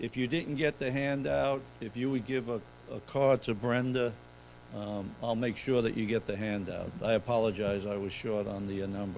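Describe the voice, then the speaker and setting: With a New York accent, a man speaks at a moderate pace in a fairly low pitch, with ordinary pitch variation. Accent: New York City. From New York City. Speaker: accountant. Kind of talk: seminar presentation.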